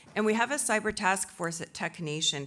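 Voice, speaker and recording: A woman speaks loudly at a fairly quick pace in a bright, sharp tone. The recording is very clean, with a silent background. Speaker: tech industry association executive, panel speaker. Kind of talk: conference speech. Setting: conference stage with audience. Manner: normally loud.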